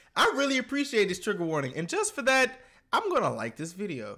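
A man's raised, projected voice at a fairly quick pace, bright and sharp in tone with very wide pitch swings, over a quiet background. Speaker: reaction youtuber. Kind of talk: casual vlog chat. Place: home room.

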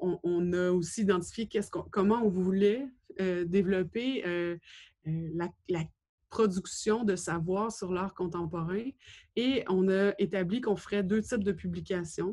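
Over a quiet background, a woman with a dark, mellow tone speaks at a very slow pace with fairly even intonation and long, frequent pauses. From Quebec, Gaspésie; Quebec. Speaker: gallery director and curator, doctoral student. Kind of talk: lecture. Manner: halting, many hesitations. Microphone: webcam.

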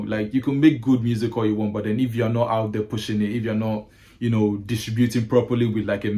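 A man's dark, mellow voice at a very fast pace, monotone and flat, with hardly any pauses. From Ghana. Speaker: music curator and writer; podcast guest. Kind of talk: casual chat. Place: home room. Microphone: video call.

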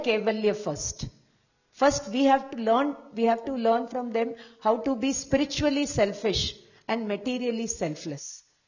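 At a moderate pace, a woman speaks with a fairly high pitch amid audible room echo. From Rajasthan, India. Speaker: professor of Jain studies. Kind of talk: conference lecture.

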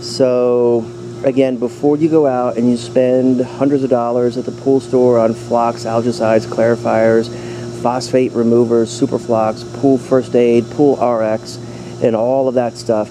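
With light background noise, a man speaks in a monotone, flat intonation. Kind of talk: tutorial. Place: garden. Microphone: phone near.

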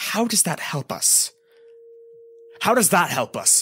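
Slow and full of big pitch swings, this put-on character voice has a husky, rough edge over a bright, sharp tone. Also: man, high pitch for a man.

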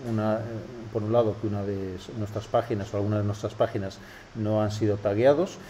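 A man with a Castilian accent, fairly low pitch and a dark, mellow, somewhat breathy tone, in monotone, flat intonation at a fairly quick pace, with light background noise. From Spain. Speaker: web analytics tutorial host. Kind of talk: tutorial. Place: office.

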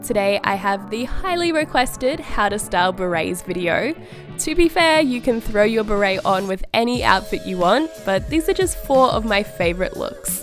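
A woman with an Australian accent, fairly high-pitched, very wide pitch swings, hardly any pauses, and music in the background. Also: moderate pace. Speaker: fashion YouTuber. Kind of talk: fashion voice-over.

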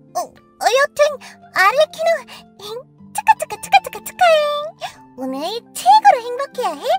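An extremely high, put-on character voice swings very widely in pitch at a moderate pace, with long, frequent pauses and faint music in the background. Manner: upbeat, playful.

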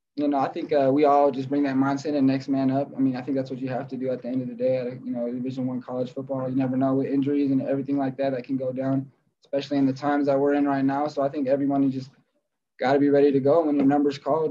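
Over light background noise, a man with a dark, mellow tone talks at a very fast pace in a monotone, flat intonation. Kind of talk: interview answer. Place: hall. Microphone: video call.

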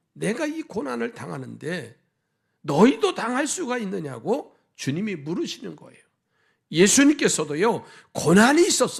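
This very clean recording has a silent background. A man talks at a moderate pace in a high voice with very wide pitch swings. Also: big swings in loudness. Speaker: pastor. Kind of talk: sermon. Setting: church.

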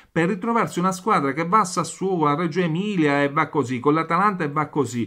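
Against a quiet background, a man talks in a high pitch with a bright, sharp tone and lively intonation. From Italy. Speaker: football commentator and YouTuber. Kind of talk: angry football rant, venting at the camera about Juventus. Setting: home video recording, neighbours nearby. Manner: furious, loud, swearing constantly, repeating phrases, rapid and breathless, exasperated; excitable, chatty, talking directly to viewers. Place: home room. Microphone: phone near.

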